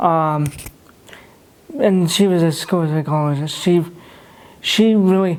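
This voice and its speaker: At a fairly slow pace, a man with an American accent speaks in a high voice with ordinary pitch variation. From Russia. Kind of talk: interview. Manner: quiet, low volume.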